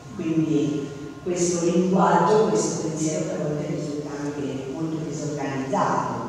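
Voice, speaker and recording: A woman with a very deep, low pitch speaks at a fairly slow pace, with hardly any pauses and fairly even intonation. Strong room echo and light background noise fill the recording. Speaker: pedagogist and teacher. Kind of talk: lecture. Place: hall. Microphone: camera far.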